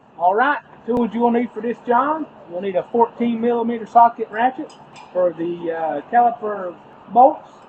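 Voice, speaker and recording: There is noticeable background noise. Over it, a man speaks at an extremely high pitch. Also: ordinary pitch variation, moderate pace. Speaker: auto repair YouTuber. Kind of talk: tutorial.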